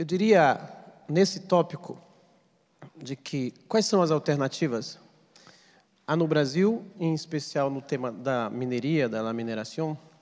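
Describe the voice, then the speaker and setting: The speech moves at a fairly slow pace with lively intonation and long, frequent pauses. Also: man, fairly high pitch for a man. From Brazil, Pará (Amazon region). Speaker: activist and author on Amazon politics. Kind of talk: lecture. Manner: seated.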